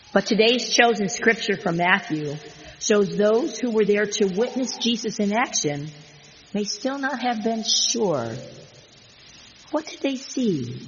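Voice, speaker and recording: Fairly slow speech with long, frequent pauses plays against noticeable background noise. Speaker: pastor. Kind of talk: sermon.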